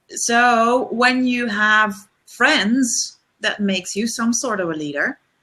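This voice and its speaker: Speaking very slowly with a Dutch accent, a woman has a bright, sharp tone, a fairly high pitch, and ordinary pitch variation. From Netherlands. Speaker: leadership coach. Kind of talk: webinar discussion. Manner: halting.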